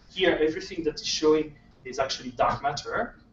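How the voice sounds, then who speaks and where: Against noticeable background noise, a man with a French accent speaks at a fairly high pitch. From France. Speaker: astronomer. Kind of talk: lecture. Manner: halting.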